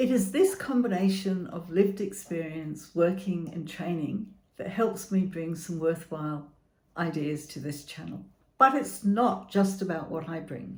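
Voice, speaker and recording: Somewhat breathy and fairly slow, a woman talks at a fairly low pitch with ordinary pitch variation and big swings in loudness, with audible room echo. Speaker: therapist and chronic illness channel host. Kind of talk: scripted channel introduction.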